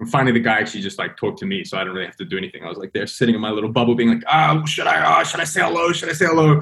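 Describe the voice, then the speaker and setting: Talking at a very fast pace with hardly any pauses, a man of medium pitch shows very wide pitch swings and big swings in loudness. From London. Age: 30s. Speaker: adventure cyclist and author. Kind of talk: casual interview chat. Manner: halting, many fillers and restarts.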